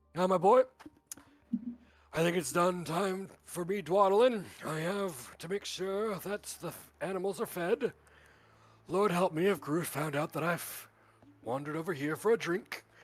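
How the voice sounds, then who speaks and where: A man's raspy, put-on character voice, high in pitch, at a moderate pace with long, frequent pauses. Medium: actual play. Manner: fatherly, rambling.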